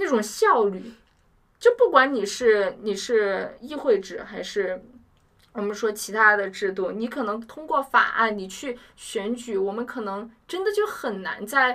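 Lively intonation marks a woman's fairly high voice, a normal speaking voice. She speaks at a fairly slow pace. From China, Chongqing. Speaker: university student. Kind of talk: casual chat.

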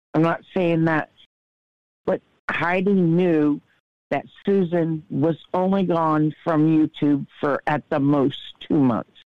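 A woman with very deep, low pitch, very slow pace, long and frequent pauses, fairly even intonation and very even loudness. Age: 50s. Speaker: guest caller sharing personal struggles. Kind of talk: casual chat.

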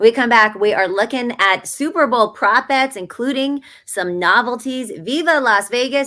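A woman speaks with a high pitch. Her voice swings very widely in pitch. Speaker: sports betting podcast host. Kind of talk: casual chat. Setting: hotel room, remote recording.

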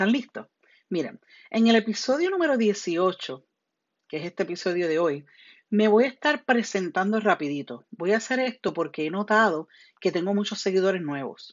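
A woman speaks with a Puerto Rican accent in an animated tone. Her pitch swings very widely. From Puerto Rico. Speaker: podcast host and citizenship teacher. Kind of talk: educational podcast monologue. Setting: home bedroom. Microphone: phone earbuds headset, lower quality.

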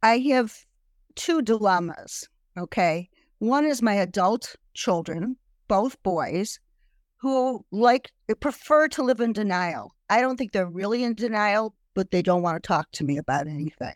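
At a fairly slow pace, a woman with a fairly high pitch makes very wide pitch swings, her voice dry and close with no echo. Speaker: cancer patient and grandparent. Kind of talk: support group discussion. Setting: video call.

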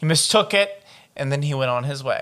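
Speaking at a moderate pace, a man has an ordinary speaking voice, captured in a very clean recording with a silent background. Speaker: podcast host. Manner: reads report text steadily and evenly, then breaks into profane, exasperated commentary.

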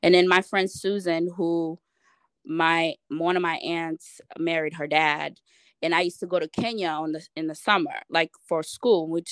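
With an American accent, a woman speaks at a moderate pace in a fairly low, monotone, flat voice over a quiet background. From Uganda. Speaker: logistics manager. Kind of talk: casual chat.

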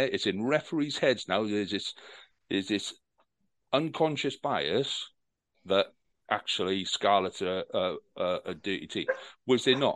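A man speaks with a Welsh accent at medium pitch and lively intonation. His pace is fairly slow, broken by long, frequent pauses. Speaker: podcast host. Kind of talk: angry rant about refereeing. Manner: heated, indignant, loud, sweary.

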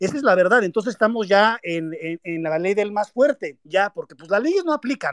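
Talking at a moderate pace with hardly any pauses, a man with a high pitch uses lively intonation in a dry, close sound with no echo. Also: big swings in loudness. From Mexico. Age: 40s. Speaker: activist son of a former prisoner. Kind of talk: online panel interview. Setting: online audio space.

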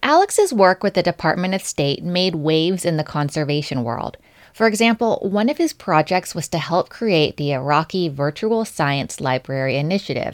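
A woman speaks in a normal speaking voice, fairly low in pitch, at a moderate pace with lively intonation. The recording is very clean and dry, close-miked with no echo and a silent background. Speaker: podcast co-host and producer. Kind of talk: casual chat.

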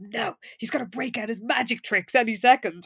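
A female-sounding voice whispers in a hissing, put-on character voice. The pace is fairly quick. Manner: hissing, lowered sharp whisper.

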